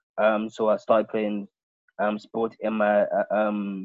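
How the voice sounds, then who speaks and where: A man talks at a fairly low pitch. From London. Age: 20s. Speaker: podcast host. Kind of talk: casual chat.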